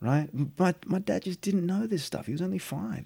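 A man speaks with an Australian accent in a dark, mellow tone. His voice is somewhat breathy and his pitch swings very widely. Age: 40s. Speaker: actor. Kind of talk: casual chat. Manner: casual, filler-heavy speech.

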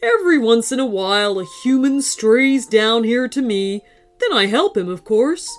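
Faint music plays behind a female-sounding, put-on character voice pitched fairly high. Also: moderate pace. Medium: read story. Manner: warm, kindly.

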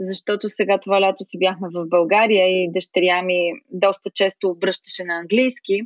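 Delivered in a plain, everyday voice, the speech runs at a moderate pace with hardly any pauses and fairly even intonation. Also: woman, medium pitch for a woman. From Bulgaria, Smolyan. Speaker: expat interviewee. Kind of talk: interview.

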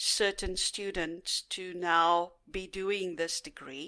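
A woman's very slow, medium-pitched voice with a bright, sharp tone, in a very clean recording over a silent background. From South Africa. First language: Afrikaans. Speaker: retired teacher and scientist, interviewee. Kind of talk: casual interview, recounting life story.

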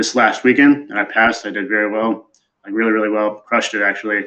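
This man has an American accent. He speaks with a fairly low pitch. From Wisconsin. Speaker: army officer. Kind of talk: casual chat.

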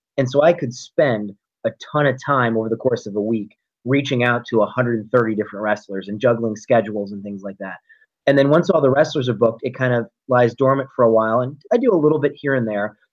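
A man talks fairly quickly at a medium pitch, using an ordinary speaking voice and ordinary pitch variation. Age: 30s. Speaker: wrestling promoter and high school principal. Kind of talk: interview.

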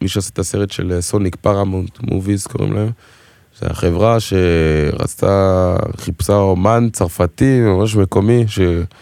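A man with a French accent speaks at a fairly slow pace with fairly even intonation. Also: fairly low pitch for a man. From Israel, Togolese family. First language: French (speaking Hebrew). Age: 20s. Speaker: singer and dancer. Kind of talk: casual chat.

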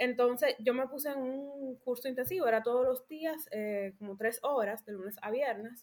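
A woman with a Dominican accent speaks in a high pitch at a moderate pace, with ordinary pitch variation and hardly any pauses. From Dominican Republic. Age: 20s. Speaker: architect. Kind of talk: podcast interview, personal story.

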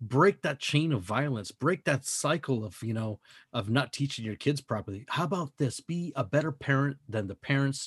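A man speaks at a moderate pace in a medium-pitched, somewhat breathy voice with an animated tone and lively intonation, recorded dry and close with no echo on a very clean recording with a silent background. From Mexican heritage. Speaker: podcast host. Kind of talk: casual chat.

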